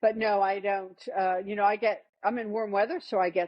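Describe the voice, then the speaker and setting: A woman with an American accent speaks at a medium pitch. Her pace is moderate. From US Northeast (northern New Jersey). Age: 60s. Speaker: health testimony guest. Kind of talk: interview testimony. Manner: halting, many fillers.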